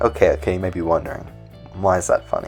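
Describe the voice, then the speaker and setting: Music plays in the background as a man speaks in a very deep, low pitch. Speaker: science educator. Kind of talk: educational science explainer.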